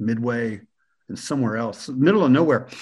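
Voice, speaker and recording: A man at medium pitch with ordinary pitch variation. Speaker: media professional and university teacher. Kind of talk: casual interview chat. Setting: video call.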